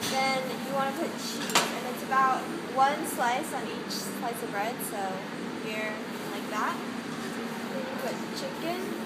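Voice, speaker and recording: A woman talks at a fairly slow pace with long, frequent pauses over loud background noise. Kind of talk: tutorial. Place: kitchen. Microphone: phone near.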